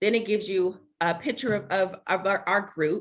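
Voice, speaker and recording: This woman has a medium pitch and speaks at a fairly quick pace. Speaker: real estate trainer. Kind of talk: webinar presentation. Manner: fast.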